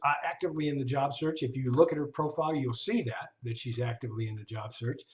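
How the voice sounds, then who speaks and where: A man with a fairly high, somewhat breathy voice talks very fast, his pitch varying in an ordinary way. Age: old. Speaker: LinkedIn trainer. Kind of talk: online seminar. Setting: video call.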